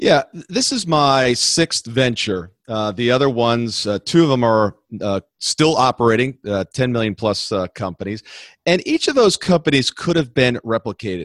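An unremarkable speaking voice, a man talks at a moderate pace with a medium pitch and lively intonation, in a dry, close sound with no echo. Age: 50s. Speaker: entrepreneur and business consultant. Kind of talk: interview.

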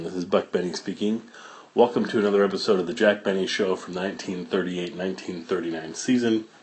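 Fairly low-pitched man with a relaxed tone, moderate pace, ordinary pitch variation and big swings in loudness. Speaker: podcast host. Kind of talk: casual podcast intro and outro, conversational. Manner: relaxed, informal, somewhat halting with fillers.

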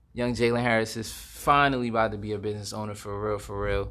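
A man is heard with audible room echo. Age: 20s. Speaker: podcast host. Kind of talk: casual monologue. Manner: many filler words and hesitations.

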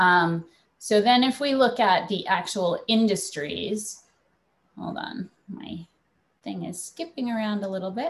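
The pace is fairly slow and the voice somewhat breathy. Loudness swings widely, and the intonation is lively. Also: woman, fairly high pitch for a woman. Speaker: startup founder. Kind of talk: panel discussion. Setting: video call.

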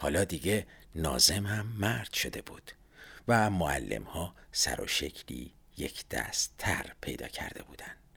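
A man whispering at a fairly slow pace, with big swings in loudness. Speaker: podcaster. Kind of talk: scripted narration.

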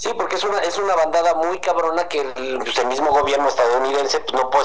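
A man talks at a very fast pace and a fairly high pitch. Audible room echo and noticeable background noise fill the recording. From Tijuana, northern Mexico. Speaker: rock music fan guest. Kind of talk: casual chat. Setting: video call.

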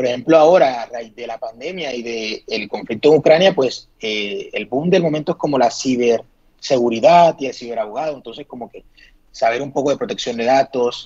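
Speaking at a moderate pace, a man has a plain, everyday voice with a medium pitch and ordinary pitch variation. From Colombia, Sincelejo. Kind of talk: casual interview.

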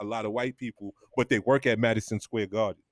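The speaker talks at a moderate pace with fairly even intonation. The sound is dry and close, with no echo. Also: man. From New York, Harlem. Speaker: podcast co-host. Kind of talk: casual sports chat.

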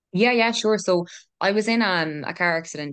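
Against a quiet background, a woman with a Kerry accent talks at a fairly quick pace with lively intonation. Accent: Kerry Irish. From Ireland, Killarney, County Kerry. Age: 20s. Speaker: health researcher and mental health business founder. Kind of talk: casual interview chat.

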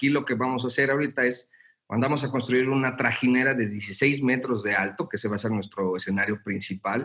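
A plain, everyday voice from a man at medium pitch, with ordinary pitch variation. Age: young. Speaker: theatre producer. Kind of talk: casual chat.

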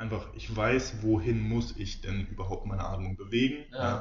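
A man speaks at a moderate pace with hardly any pauses. Audible room echo surrounds his voice. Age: 20s. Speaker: physiotherapist and osteopath. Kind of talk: casual interview.

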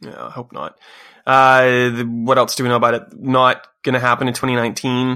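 On a very clean recording with a silent background, a man of medium pitch talks at a fairly quick pace in a bright, sharp tone, his intonation monotone and flat but his loudness swinging widely. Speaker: podcast host. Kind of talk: casual chat about video games. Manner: fast talker.

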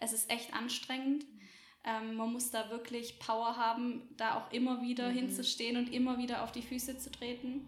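Noticeable background noise and audible room echo surround a woman's fairly high voice. She speaks at a moderate pace in a flat monotone. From Swabia, Germany (small village near Göppingen). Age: 20s. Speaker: café owner and entrepreneur. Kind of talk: podcast interview.

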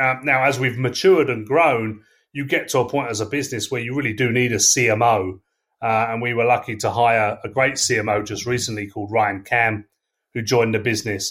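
On a very clean recording with a silent background, a man with an English accent speaks fairly quickly at medium pitch and with fairly even intonation. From England. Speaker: sales leader. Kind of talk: casual interview. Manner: hesitant, filler words.

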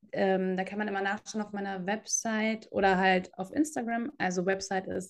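This woman keeps her intonation fairly even, with a quiet background behind her. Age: 30s. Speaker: yoga teacher and podcast co-host. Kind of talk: casual chat.

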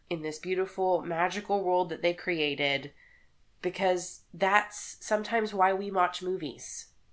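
A woman's voice with a Texan accent, medium pitch and fairly even intonation at a fairly slow pace, in a very clean recording with a silent background. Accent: Texan American. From Texas. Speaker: podcast co-host, nurse. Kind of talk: casual chat.

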